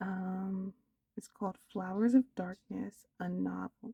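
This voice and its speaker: Soft-spoken and somewhat breathy, a woman talks with a dark, mellow tone. Her pace is fairly slow. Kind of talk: soft-spoken ASMR book haul, casual rambling to camera. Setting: home recording, ASMR-style. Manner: soft-spoken, slow, hesitant with some stuttering.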